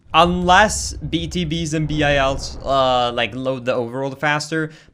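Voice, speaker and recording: A man is speaking. Music plays in the background. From Sweden. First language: Swedish. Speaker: video game streamer. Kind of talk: casual chat.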